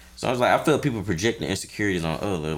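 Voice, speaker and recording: A man with a fairly low pitch speaks at a very fast pace in an animated tone, with vocal fry. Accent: American. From Atlanta, US South. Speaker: podcast host. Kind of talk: casual chat. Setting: studio. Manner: animated, casual.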